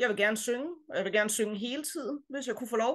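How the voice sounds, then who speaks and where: The woman's voice sits fairly high, with ordinary pitch variation. Her background is quiet. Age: 30s. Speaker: choir member sharing personal story. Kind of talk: personal testimony. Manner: hesitant, many fillers.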